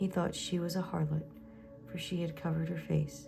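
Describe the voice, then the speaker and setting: Soft-spoken and gentle in tone, a woman talks over music in the background. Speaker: Bible reader / ASMR channel host. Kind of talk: soft-spoken Bible reading, read-along. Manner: soft-spoken, gentle, slow with some pauses.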